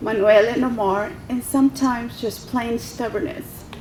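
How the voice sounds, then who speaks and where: Against noticeable background noise, a woman with a fairly high pitch speaks at a moderate pace with fairly even intonation. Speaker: military reservist speaking at veterans event. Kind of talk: prepared speech. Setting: podium at public event with audience.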